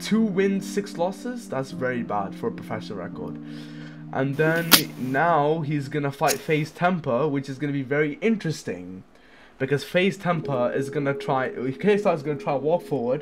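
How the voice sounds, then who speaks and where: A man's fairly high voice moves through very wide pitch swings. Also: moderate pace. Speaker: boxing commentator / youtuber. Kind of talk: casual chat. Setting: home, at night. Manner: soft-spoken; halting.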